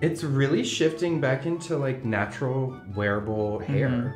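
With an American accent, the speaker is heard in a room with audible echo and faint music in the background. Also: fairly slow pace. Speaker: hairstylist. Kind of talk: casual chat while working. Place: studio.

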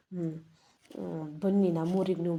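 This woman has a dark, mellow tone and speaks with a Malnad accent. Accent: Malnad Kannada dialect. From Malnad region, Karnataka. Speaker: vlogger. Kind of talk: travel vlog. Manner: casual, chatty.

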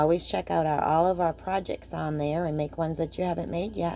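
Her voice is very deep and low in pitch for a woman, with a dark, mellow tone. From Maine. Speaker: craft tutorial host. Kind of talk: tutorial. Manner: casual and chatty. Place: home room. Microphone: phone near.

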